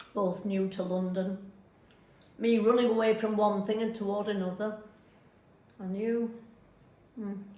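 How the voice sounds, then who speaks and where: A woman with a northern English accent, medium pitch and monotone, flat intonation, at a fairly slow pace with long, frequent pauses and noticeable background noise. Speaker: stage actor performing a monologue. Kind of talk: theatre monologue. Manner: conversational, chatty, wry.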